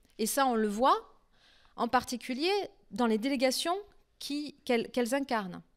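A high-pitched woman with a French accent, at a fairly slow pace, over a quiet background. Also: long, frequent pauses. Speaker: political science researcher; speaker. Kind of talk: academic lecture. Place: stage. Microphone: handheld.

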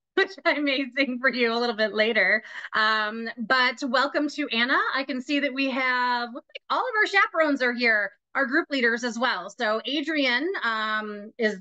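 At a moderate pace, a woman with a high pitch and a bright, sharp tone speaks with ordinary pitch variation against a quiet background. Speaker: trip group leader hosting a meeting. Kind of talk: meeting host introduction. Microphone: video call.

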